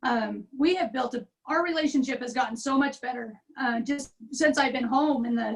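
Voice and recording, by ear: A woman speaks at a high pitch with ordinary pitch variation. Her voice is raspy. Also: moderate pace.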